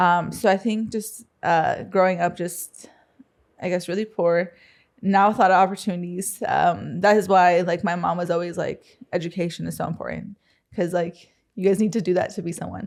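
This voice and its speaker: A woman's medium-pitched voice in a Spanish accent, with monotone, flat intonation at a moderate pace. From US Midwest, Council Bluffs, Iowa. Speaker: entrepreneur. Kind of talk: interview. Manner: hesitant, many fillers.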